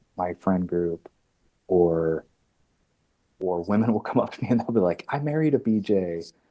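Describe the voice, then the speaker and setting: With a Midwestern accent, a man talks fairly quickly in a very deep, dark, mellow voice, using ordinary pitch variation, in a dry, close sound with no echo. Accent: Midwest. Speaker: actor. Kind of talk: casual interview.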